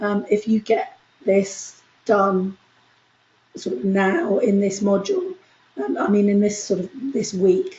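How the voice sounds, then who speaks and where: The speaker talks at a fairly slow pace with long, frequent pauses, a somewhat breathy quality and lively intonation. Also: woman, medium pitch for a woman. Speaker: university lecturer. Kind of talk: lecture.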